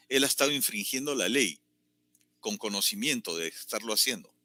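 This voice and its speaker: Over music in the background, a man at a medium pitch uses very wide pitch swings, the sound dry and close with no echo. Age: 60s. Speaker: political commentator. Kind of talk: political commentary.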